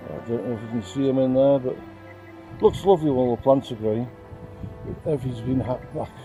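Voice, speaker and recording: A man at a very fast pace and medium pitch, with long, frequent pauses and music in the background. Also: ordinary pitch variation. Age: 70s. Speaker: amateur gardener. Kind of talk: casual garden tour talk to camera.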